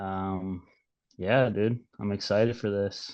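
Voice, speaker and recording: Against a quiet background, a man talks at a very slow pace with monotone, flat intonation. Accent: strong Minnesota. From Minnesota. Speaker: podcast co-host. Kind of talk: casual chat.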